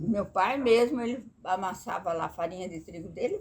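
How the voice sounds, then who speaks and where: A somewhat breathy woman at a moderate pace. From Brazil, rural Vale do Paraíba near Jacareí, São Paulo state. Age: 80s+. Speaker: grandmother sharing life memories. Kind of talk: oral history interview. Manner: halting, with repetitions.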